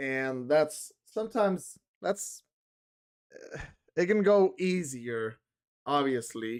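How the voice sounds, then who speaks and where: A man's fairly high pitch with very wide swings, at a very slow pace with long, frequent pauses. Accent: Spanish. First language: Spanish. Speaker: streamer. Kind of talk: casual live stream chat. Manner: halting, many fillers.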